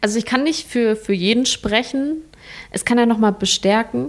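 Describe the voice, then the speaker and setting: A woman's fairly quick speech carries ordinary pitch variation. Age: 20s. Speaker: hospice volunteer. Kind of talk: interview. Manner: halting.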